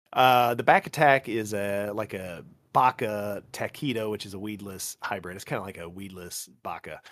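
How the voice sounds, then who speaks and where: On a very clean recording with a silent background, a man with an American accent speaks at a moderate pace in a fairly low voice, with ordinary pitch variation and big swings in loudness. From US Midwest (Illinois). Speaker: fishing lure maker. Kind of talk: casual chat. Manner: sleep-inducing, calm.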